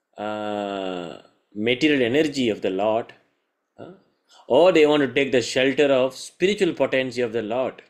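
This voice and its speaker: An unremarkable speaking voice belongs to a man with a medium pitch. He speaks at a moderate pace with lively intonation. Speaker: scripture teacher. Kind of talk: lecture.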